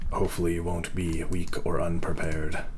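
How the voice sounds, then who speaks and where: A put-on character voice at a fairly quick pace, over clear background noise. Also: man, very deep, low pitch for a man. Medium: actual play. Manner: halting, portentous.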